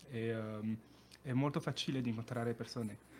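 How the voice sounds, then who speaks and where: In a French accent, a man speaks at a medium pitch. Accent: French accent in Italian. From France, Périgueux (south-west). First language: French (speaking Italian). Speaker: Erasmus exchange student. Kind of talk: casual interview. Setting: radio studio. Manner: halting, hesitant.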